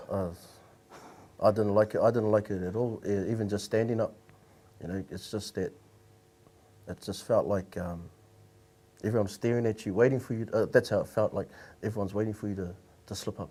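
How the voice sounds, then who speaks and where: A man with a New Zealand accent mumbles at a fairly quick pace with long, frequent pauses, in a fairly low pitch with flat, monotone intonation and a dark, mellow tone. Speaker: panel guest. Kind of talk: casual group discussion. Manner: mumbling, halting.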